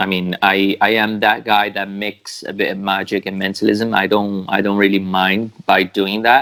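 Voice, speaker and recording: This man has a fairly low pitch and a bright, sharp tone, speaking at a fairly slow pace. The recording is very clean, with a silent background. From Brazil. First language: Portuguese. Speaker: mentalist. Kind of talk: interview. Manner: halting.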